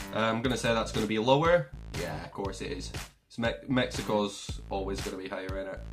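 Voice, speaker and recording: Faint music plays in the background behind a man speaking. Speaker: gaming streamer. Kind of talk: casual gameplay commentary. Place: home room.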